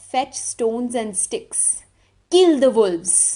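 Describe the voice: Putting on a character voice, a woman speaks very slowly at a high pitch, with hissing in her delivery.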